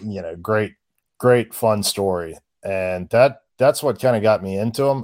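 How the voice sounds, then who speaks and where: A man with an ordinary speaking voice, fairly low-pitched, at a fairly slow pace with ordinary pitch variation. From US South. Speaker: political writer. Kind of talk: casual chat.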